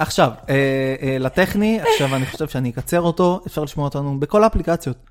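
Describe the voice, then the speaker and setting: Over noticeable background noise, a man with a fairly high pitch and ordinary pitch variation speaks at a fairly quick pace with hardly any pauses. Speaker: podcast co-host. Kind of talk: casual chat.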